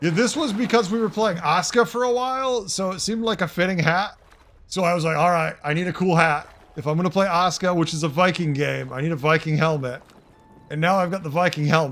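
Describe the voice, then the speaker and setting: A man with a Boston accent and a high pitch speaks very fast in an animated tone with ordinary pitch variation. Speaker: game streamer. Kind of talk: casual live-stream chat.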